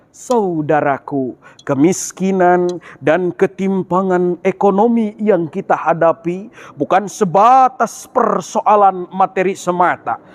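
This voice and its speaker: A man with a high voice speaks very slowly and at a very even volume, his pitch rising and falling in an ordinary way, in a dry, close recording with no echo but noticeable background noise. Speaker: university student giving an Islamic sermon in a competition. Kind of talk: Islamic sermon (ceramah) competition speech.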